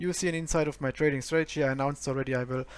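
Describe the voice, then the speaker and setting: A man with a German accent speaks in a fairly high, monotone, flat voice. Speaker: forex trader and educator. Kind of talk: screen-share trading review. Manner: hesitant, many fillers.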